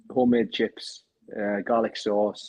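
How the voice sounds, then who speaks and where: In a northeastern English accent, the speaker talks with monotone, flat intonation, captured with a dry, close sound and no echo. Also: man. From northeast England, Sunderland. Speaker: crypto project community leader. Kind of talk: casual chat.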